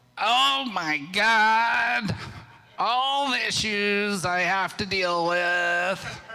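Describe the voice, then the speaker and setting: In a whiny, put-on character voice of middle pitch, the speaker talks at a very slow pace. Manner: complaining, overwhelmed.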